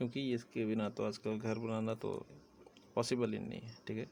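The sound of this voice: A man speaks at a moderate pace with a fairly low pitch and little pitch movement. His tone is slightly mellow, with vocal fry.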